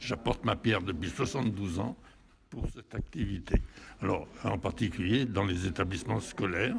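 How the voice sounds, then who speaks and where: A somewhat breathy man at a fairly low pitch, moderate pace and ordinary pitch variation. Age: 80s+. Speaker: war veteran. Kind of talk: interview. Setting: hotel event. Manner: halting.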